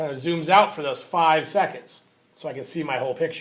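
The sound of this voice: A man speaks loudly at a fairly high pitch, his tone fairly bright and his pitch variation ordinary. Audible room echo surrounds the voice.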